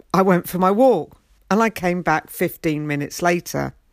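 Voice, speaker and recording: On a very clean recording with a silent background and a dry, close sound with no echo, a woman with an English accent speaks at a moderate pace and medium pitch, with ordinary pitch variation. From England. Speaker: podcast host and life coach. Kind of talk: solo podcast monologue.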